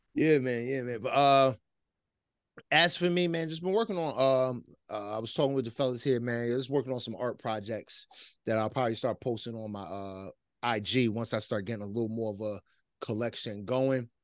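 A plain, everyday voice from a man with an American accent, medium in pitch, at a fairly quick pace with ordinary pitch variation, over a quiet background. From US Northeast, near Philadelphia. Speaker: hip hop podcast host. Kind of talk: casual chat.

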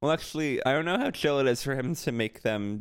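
An unremarkable speaking voice goes at a fairly quick pace with lively intonation. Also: man. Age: 20s. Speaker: podcast co-host. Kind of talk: casual chat.

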